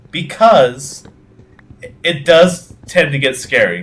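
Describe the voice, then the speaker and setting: Loud and very slow, a man talks at a high pitch. His pitch varies in an ordinary way. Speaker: gaming YouTuber. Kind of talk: gameplay commentary. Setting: home recording with webcam. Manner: casual, filler-heavy.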